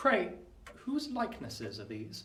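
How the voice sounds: In a put-on character voice, a man speaks slowly at high pitch with a bright, sharp tone and very wide pitch swings.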